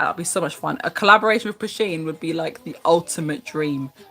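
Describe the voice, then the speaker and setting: A woman with a fairly low pitch talks while noticeable background noise continues behind her. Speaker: craft YouTuber. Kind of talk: live Q&A stream. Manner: animated.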